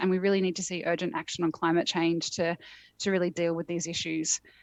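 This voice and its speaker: A woman speaks in an Australian accent at a medium pitch. Her pace is fairly quick and her intonation fairly even. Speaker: climate policy expert, keynote speaker. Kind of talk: keynote speech. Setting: remote video link from a conference venue, in a phone box.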